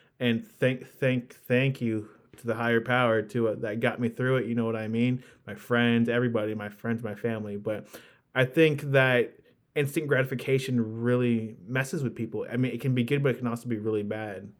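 A normal speaking voice, a man's, medium in pitch, at a fairly quick pace with fairly even intonation. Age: 20s. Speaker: podcast host. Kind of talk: casual chat. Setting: remote call.

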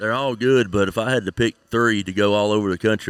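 A man talks at a moderate pace with fairly even intonation. The sound is dry and close with no echo, on a very clean recording with a silent background. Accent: Tennessee. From Tennessee. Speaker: crappie fishing pro. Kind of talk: casual interview. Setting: on location at a tournament.

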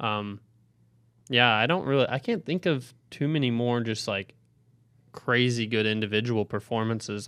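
Recorded very cleanly against a silent background, a man uses an ordinary speaking voice at medium pitch, with ordinary pitch variation and a moderate pace. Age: 20s. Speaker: sports reporter. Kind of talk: casual chat.

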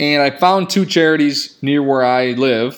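A man in a normal speaking voice with an American accent, medium pitch, ordinary pitch variation and a moderate pace, on a very clean recording with a silent background. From Michigan (Grand Rapids). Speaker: podcast host. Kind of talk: casual solo podcast talk. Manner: casual, filler-heavy.

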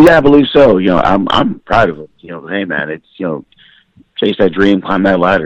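The sound is dry and close, with no echo at all. In it, a man talks very fast. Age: 30s. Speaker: pro wrestler. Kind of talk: casual chat.

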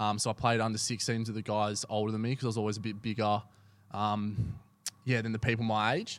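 A man with an Australian accent, very fast and monotone, with flat intonation. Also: fairly low pitch for a man. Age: 20s. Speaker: amateur footballer. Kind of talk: casual chat.

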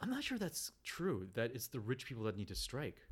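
Lively intonation and a fairly quick pace from a man with a medium-pitched voice. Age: 30s. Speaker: podcast co-host. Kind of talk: casual chat.

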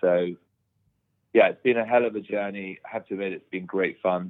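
A man speaks in a British accent. His pitch is very deep and low. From Bahamas, with UK boarding school. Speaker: property developer. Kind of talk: interview. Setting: remote call from home.

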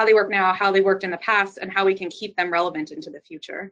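Speaking in a plain, everyday voice, a woman keeps a medium pitch. Her intonation is fairly even. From US South, southern Louisiana. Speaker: architect and sustainability director. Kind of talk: interview.

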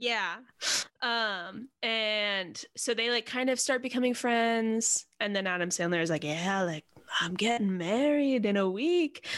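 At a fairly slow pace, a woman with a normal speaking voice and fairly high pitch uses lively intonation at very even loudness on a very clean recording with a silent background. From New Jersey (Montclair). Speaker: podcast co-host. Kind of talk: casual chat.

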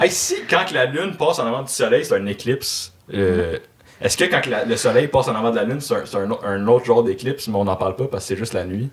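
Over noticeable background noise, a man with a Quebec accent speaks very fast at a medium pitch with lively intonation. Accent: Québécois French. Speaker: podcast host. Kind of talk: casual chat. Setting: live-streamed podcast studio.

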